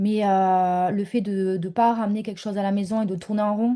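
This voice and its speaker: Over a quiet background, a woman with a southern French accent talks fairly quickly at medium pitch, her dark, mellow tone held in monotone, flat intonation. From southern France. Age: 30s. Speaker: mentor, former stay-at-home mother. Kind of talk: interview testimony. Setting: home office, video call. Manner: hesitant, many fillers.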